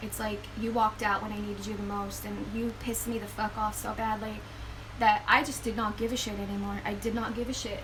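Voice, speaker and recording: Audible room echo and noticeable background noise fill the recording. Through it, a woman talks fairly quickly. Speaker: spiritual vlogger. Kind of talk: personal testimony. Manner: halting.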